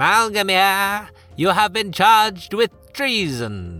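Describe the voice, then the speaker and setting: A loud, nasal put-on character voice at a middle pitch moves at a very slow pace. Faint music plays in the background. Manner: loud, proclaiming.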